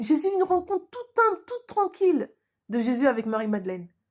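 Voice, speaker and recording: A high-pitched woman's voice with very wide pitch swings at a fairly quick pace. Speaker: YouTuber reviewing a TV series. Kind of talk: casual video review. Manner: fast; loud, projecting.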